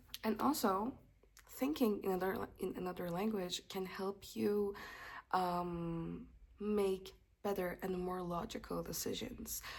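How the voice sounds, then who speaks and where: Speaking at a fairly slow pace with a non-native accent, a woman uses medium pitch and ordinary pitch variation. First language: not English. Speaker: English teacher. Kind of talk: casual tutorial. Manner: casual with hesitations.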